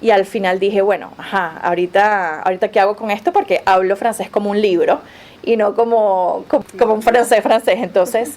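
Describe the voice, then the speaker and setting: A woman's medium-pitched voice with a Venezuelan accent. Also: ordinary pitch variation, moderate pace. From Venezuela, Caracas. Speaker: Spanish professor. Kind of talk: interview. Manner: halting, with frequent fillers and repetitions.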